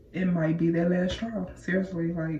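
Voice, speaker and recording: A woman's fairly low voice at a fairly slow pace, with fairly even intonation and audible room echo. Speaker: hair and lifestyle vlogger. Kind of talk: casual vlog chat. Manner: casual, halting at times.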